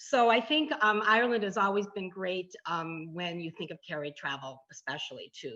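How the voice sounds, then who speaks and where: Against a quiet background, a woman speaks at a moderate pace in a bright, sharp tone. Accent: Chicago. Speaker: travel tour presenter.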